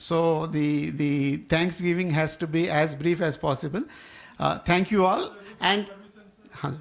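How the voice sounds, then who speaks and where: The speaker has a Telugu accent and fairly even intonation. The pace is fairly slow. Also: man, high pitch for a man. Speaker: professor and co-author. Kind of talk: speech at a book launch. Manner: halting, many fillers.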